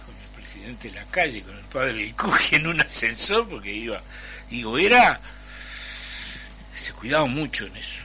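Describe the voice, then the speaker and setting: A man speaks with a Uruguayan accent at a moderate pace. Music plays in the background. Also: big swings in loudness. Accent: Rioplatense Spanish (Uruguayan). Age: 70s. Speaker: Afro-Uruguayan activist, former ambassador. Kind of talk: radio panel discussion.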